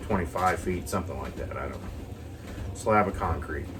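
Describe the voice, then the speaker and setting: A man with a very deep, low pitch and ordinary pitch variation speaks at a moderate pace. Room echo is audible, and background noise is noticeable. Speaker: vlogger. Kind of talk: casual chat. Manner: rambling, hesitant.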